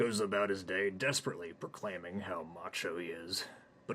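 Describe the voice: Here someone is doing plain reading aloud.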